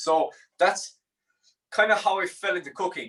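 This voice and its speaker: A man speaks with a Limerick accent. His tone is bright and sharp. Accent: Irish (Limerick). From Ireland, Limerick. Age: 20s. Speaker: chef and meal prep business owner. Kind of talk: cooking tutorial. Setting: studio. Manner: casual, relaxed.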